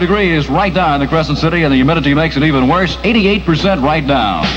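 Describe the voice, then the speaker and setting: A man with lively intonation rattles along very fast as noticeable noise fills the background. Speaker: radio disc jockey. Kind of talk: radio DJ patter. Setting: AM radio broadcast.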